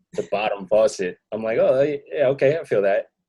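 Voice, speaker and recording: The recording is dry and close, without any echo. A man talks at a middling pace. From US Northeast, Queens, New York City. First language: not English. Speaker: rapper and music producer. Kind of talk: interview. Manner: hesitant, many fillers and repeated words.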